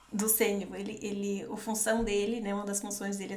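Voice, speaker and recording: In a northeastern Brazilian accent, a woman speaks at a moderate pace with medium pitch and monotone, flat intonation, amid noticeable background noise and audible room echo. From Northeast Brazil. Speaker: podcast co-host. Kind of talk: casual podcast chat.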